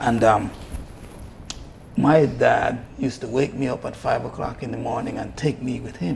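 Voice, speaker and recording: A man with big swings in loudness and long, frequent pauses, against noticeable background noise. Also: moderate pace. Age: 60s. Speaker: health and fitness coach. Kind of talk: TV interview.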